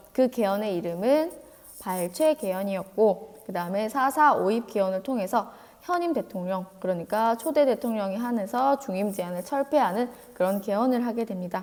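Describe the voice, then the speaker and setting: An ordinary speaking voice with lively intonation holds a moderate pace. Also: woman, fairly high pitch for a woman. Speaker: teacher. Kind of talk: lecture.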